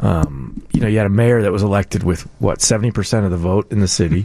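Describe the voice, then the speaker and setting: A man's plain, everyday voice at a very even loudness. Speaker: political commentator. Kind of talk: casual radio chat.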